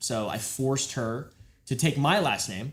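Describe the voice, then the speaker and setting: This is a normal speaking voice with an American accent. The pace is fairly slow. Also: man. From Texas. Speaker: livestream host. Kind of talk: casual chat.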